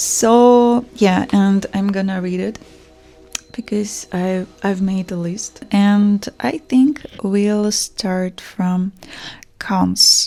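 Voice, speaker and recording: A very slow pace with fairly even intonation, in a Russian accent, over music in the background. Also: woman. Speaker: fashion brand founder. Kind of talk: personal vlog monologue. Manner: hesitant, with fillers.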